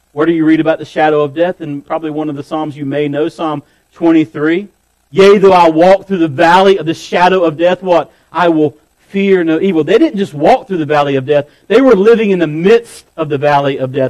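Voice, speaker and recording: A plain, everyday voice from a man, fairly high in pitch, at a fairly quick pace with ordinary pitch variation. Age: 40s. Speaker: pastor. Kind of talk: sermon.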